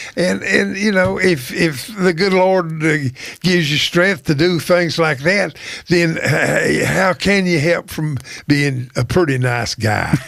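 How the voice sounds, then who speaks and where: A man with an Appalachian accent and high pitch, at a very slow pace, over noticeable background noise. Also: ordinary pitch variation, very even loudness. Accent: Appalachian North Carolina Southern. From US South, Wilkes County, North Carolina. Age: 80s+. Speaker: retired poultry company personnel manager. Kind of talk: interview conversation. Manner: halting, many repetitions and fillers.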